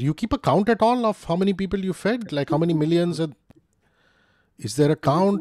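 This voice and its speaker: Over a quiet background, a man with an Indian accent talks at a fairly quick pace in a dark, mellow tone, the sound dry with no echo. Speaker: interviewer. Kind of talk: casual interview. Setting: video call. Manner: animated. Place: home room. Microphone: studio mic.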